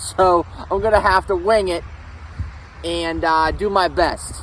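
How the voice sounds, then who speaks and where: A man talks in an American accent over noticeable background noise. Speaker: history vlogger. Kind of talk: casual vlog talk. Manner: loud. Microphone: no microphone, camera audio.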